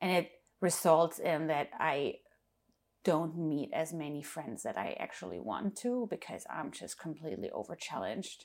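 A woman speaks in a very deep, low voice with a German accent, lively intonation and vocal fry. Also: moderate pace. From Germany. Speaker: DJ and music producer. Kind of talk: casual interview chat.

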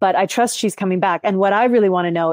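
A woman with a Canadian accent at medium pitch, very fast, with fairly even intonation, a quiet background and a dry, close sound with no echo. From Langley and Maple Ridge, British Columbia. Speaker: podcast co-host. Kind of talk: interview.

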